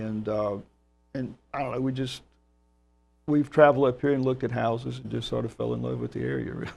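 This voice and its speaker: A man with a Georgia accent at a very fast pace, long, frequent pauses and music in the background. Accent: Georgia Southern. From US South, Georgia. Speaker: orchestra music director. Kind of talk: interview.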